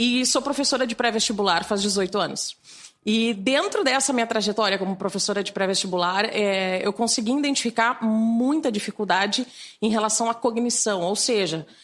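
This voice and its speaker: A fairly high female voice at a moderate pace, its pitch shifting in an ordinary way. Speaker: teacher and cognitive neuroscientist. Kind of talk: interview.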